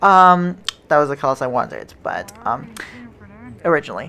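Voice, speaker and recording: A woman's unremarkable speaking voice, fairly low in pitch, with lively intonation. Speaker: rail travel vlogger. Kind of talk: casual vlog commentary. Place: train.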